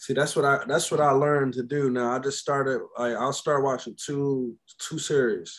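This man has an ordinary speaking voice with an American accent and a fairly high pitch. He keeps a moderate pace and fairly even intonation. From Frederick, Maryland. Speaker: podcast guest. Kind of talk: casual chat.

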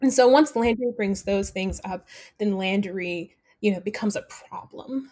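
This is a woman's voice at medium pitch. It sounds somewhat breathy. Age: 20s. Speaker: dramaturg. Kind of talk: interview. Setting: at home.

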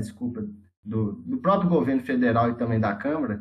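With a Minas Gerais accent, a man talks at a moderate pace with ordinary pitch variation. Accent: Brazilian Portuguese, Minas Gerais (mineiro). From Sete Lagoas, Minas Gerais, Brazil. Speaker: geography student. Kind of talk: casual discussion.

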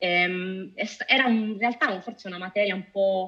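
A woman talks with an ordinary speaking voice at a medium pitch. Her intonation stays fairly even. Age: 30s. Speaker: data officer and UX researcher. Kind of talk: interview.

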